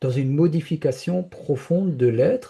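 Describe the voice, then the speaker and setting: A man speaks at a very slow pace, his voice somewhat breathy. His tone is dark and mellow. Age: 70s. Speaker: spiritual speaker sharing personal experience. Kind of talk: interview testimony. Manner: hesitant, many repetitions and fillers.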